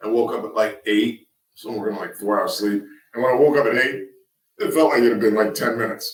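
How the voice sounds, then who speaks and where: Putting on a raspy character voice, a man talks at a fairly quick pace, keeping a medium pitch and fairly even intonation. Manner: talking fast.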